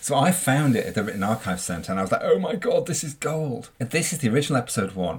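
His voice, somewhat breathy, moves in very wide pitch swings. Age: old. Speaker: podcast co-host and author. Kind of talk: casual chat.

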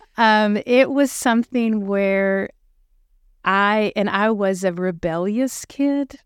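A very slow woman's voice of medium pitch, with ordinary pitch variation. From Western Pennsylvania (Uniontown, Pittsburgh area). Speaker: pregnancy center director. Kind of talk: casual interview, faith testimony.

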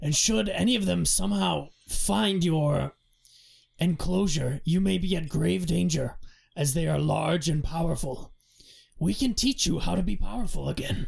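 In a put-on character voice, the speaker sounds raspy at a middle pitch and a moderate pace. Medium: actual play.

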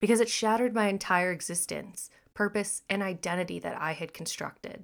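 In a normal speaking voice with an American accent, a woman talks at a moderate pace with ordinary pitch variation, on a very clean recording with a silent background. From Texas and Missouri. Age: 20s. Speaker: podcast host. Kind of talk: reading aloud.

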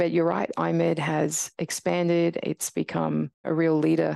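A woman with an Australian accent speaks at a moderate pace, her sound dry and close with no echo over a quiet background. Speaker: radiologist and professor. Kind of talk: interview conversation.

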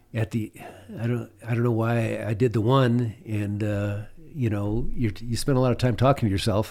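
This is a normal speaking voice. The intonation stays fairly even. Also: man. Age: 60s. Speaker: pilot and adventurer. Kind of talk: casual interview telling stories.

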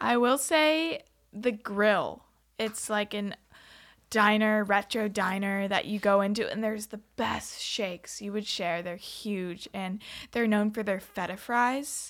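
A woman has an ordinary speaking voice with an American accent, at a medium pitch and a fairly slow pace with ordinary pitch variation. The recording is very clean, with a silent background. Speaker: college student. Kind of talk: casual interview.

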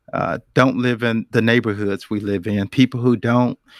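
Recorded very cleanly against a silent background, with a dry, close sound and no echo, a man speaks at a medium pitch with fairly even intonation. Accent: American. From Charlotte, North Carolina. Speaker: executive. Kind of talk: panel discussion. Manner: halting.

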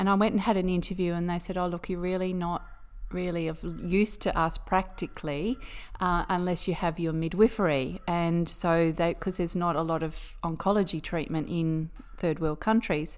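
Fairly low-pitched woman's voice with an Australian accent and fairly even intonation, in a very clean recording with a silent background. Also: moderate pace. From Queensland, Australia. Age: 50s. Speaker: nurse. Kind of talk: casual chat. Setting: at home.

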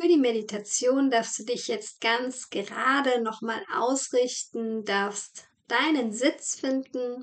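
Very slowly and with hardly any pauses, a woman speaks in a high voice. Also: ordinary pitch variation. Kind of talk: guided meditation. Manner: slow, calm and soothing, with gentle pauses for breathing; soft-spoken and warm, addressing the listener as "du".

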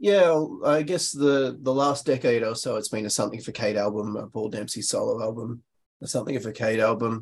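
A man in an Australian accent, his pitch varying in an ordinary way. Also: medium pitch for a man. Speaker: guest album suggester. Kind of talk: casual chat. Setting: remote call.

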